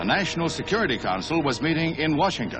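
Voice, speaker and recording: A man with a fairly high-pitched voice talks fairly quickly as music plays behind him. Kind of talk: newsreel narration.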